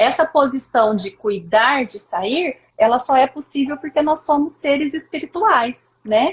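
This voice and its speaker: This woman's voice is high-pitched, with lively intonation. She speaks at a fairly slow pace. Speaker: live stream host, therapist. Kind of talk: casual talk. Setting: live stream video call.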